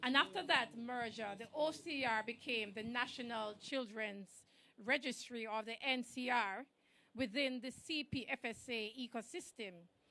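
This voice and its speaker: A woman's voice is high-pitched, loud, and bright and sharp in tone. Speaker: government official speaker. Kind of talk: ceremonial speech.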